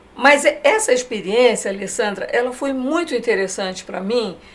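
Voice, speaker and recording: High pitch from a woman, with noticeable background noise. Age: 60s. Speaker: design association president. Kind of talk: TV interview. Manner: hesitant, many fillers.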